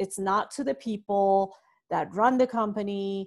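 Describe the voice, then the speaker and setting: She is a woman speaking at a medium pitch with ordinary pitch variation. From Iran. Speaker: entrepreneur and startup fundraising advisor. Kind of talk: interview. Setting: remote call from home.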